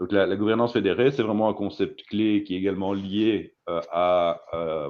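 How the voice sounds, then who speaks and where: With a Belgian accent, a man speaks at a fairly low pitch. He keeps a moderate pace and ordinary pitch variation. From Belgium. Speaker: data consultant. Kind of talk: presentation talk. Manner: halting, many fillers and repetitions.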